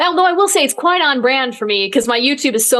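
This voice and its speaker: Talking at a very fast pace in an American accent, a woman sounds animated, with lively intonation and noticeable background noise. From Michigan, Battle Creek. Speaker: meteorologist. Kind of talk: casual chat.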